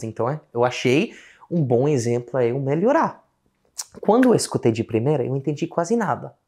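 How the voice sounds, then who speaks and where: A man talks at a fairly quick pace and a medium pitch. The background is quiet. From Australia. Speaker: English teacher. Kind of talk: casual talk to camera. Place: home room.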